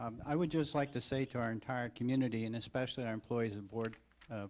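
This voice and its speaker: This man has an unremarkable speaking voice. His pitch is medium, with ordinary variation. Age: 60s. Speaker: school board member. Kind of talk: public meeting remarks. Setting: board meeting.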